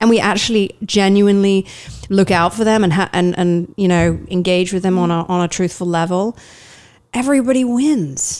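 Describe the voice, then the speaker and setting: On a very clean recording with a silent background, a woman talks with very even loudness and ordinary pitch variation. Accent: slight English. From eastern England. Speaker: actor, voiceover artist and headshot photographer. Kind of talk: casual interview.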